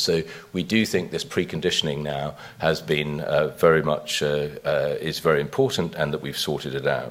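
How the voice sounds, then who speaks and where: With noticeable background noise behind him, a man with a British accent speaks in a very deep, low pitch at a fairly quick pace. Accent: British accent, noted by himself. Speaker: biotech company chief executive. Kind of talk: investor conference presentation. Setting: conference stage with audience. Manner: frequent hesitations and fillers; brisk pace.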